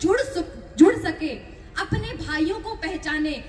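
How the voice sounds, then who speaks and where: Audible room echo surrounds a woman's voice. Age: 20s. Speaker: public speaker at religious festival event. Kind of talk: speech to an audience. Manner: impassioned.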